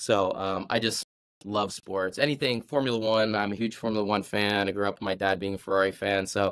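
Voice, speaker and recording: A man's fairly low voice with an American accent at a fairly quick pace, in a very clean recording with a silent background. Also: fairly even intonation. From New Jersey, near New York City. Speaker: former Olympic gymnast and fitness coach. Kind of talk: casual podcast interview. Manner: loud.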